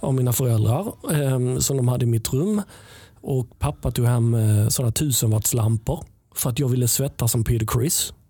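A man with a dark, mellow tone speaks at a medium pitch, sounding somewhat breathy. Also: very even loudness. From southern Sweden, Helsingborg. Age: 50s. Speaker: musician and sound engineer. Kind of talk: casual chat. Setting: studio.

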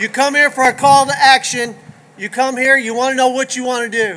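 A man talks in a raised, projected voice at an extremely high pitch, with an American accent. Noticeable background noise sits behind him. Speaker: county sheriff. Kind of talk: rally speech. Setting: outdoor rally stage with crowd.

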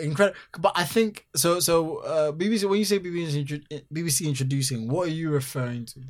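A man talks at a very fast pace with a fairly high pitch. His loudness swings widely, while his pitch varies an ordinary amount. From Ghana. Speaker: musician and entertainer. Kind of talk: casual interview chat. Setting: London.

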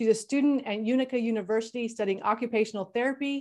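A woman talks in a normal speaking voice, pitched fairly high, with ordinary pitch variation. The background is quiet. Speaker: coach / therapist host. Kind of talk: panel discussion.

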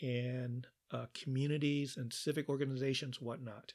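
On a very clean recording with a silent background, a man with a plain, everyday voice speaks at a moderate pace and medium pitch with fairly even intonation. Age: 60s. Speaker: podcast host. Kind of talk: solo podcast monologue. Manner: measured, with frequent fillers.

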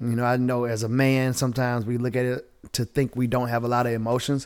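Recorded very cleanly against a silent background, a man speaks at medium pitch with a Southern US accent. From Southwest Georgia, US South. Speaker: entrepreneur and bodybuilder. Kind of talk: casual chat.

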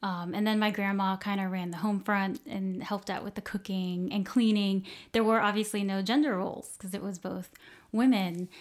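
On a very clean recording with a silent background, a woman with an American accent has an unremarkable speaking voice, medium pitch, fairly even intonation and a moderate pace. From US South, Southwest Florida. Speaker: podcast guest. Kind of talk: interview. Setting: kitchen table recording.

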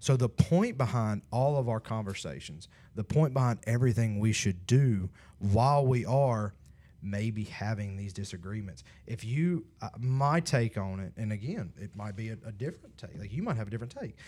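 On a very clean recording with a silent background, a man talks at a moderate pace in a medium pitch with a dark, mellow tone. His loudness swings widely while his pitch varies an ordinary amount. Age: 30s. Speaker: young adult ministry podcast host. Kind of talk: casual chat. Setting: studio.

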